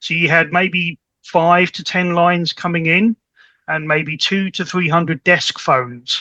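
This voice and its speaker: Bright and sharp in tone, a man speaks at a high pitch in a British accent with fairly even intonation, the sound dry and close with no echo. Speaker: network specialist. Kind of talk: podcast interview, technical explanation. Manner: repeats words, halting starts.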